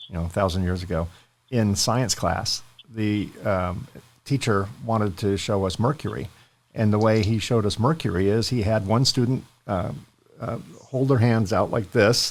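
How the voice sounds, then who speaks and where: This man has an unremarkable speaking voice, fairly low in pitch, with ordinary pitch variation at a moderate pace. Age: 60s. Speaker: podcast host. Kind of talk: interview.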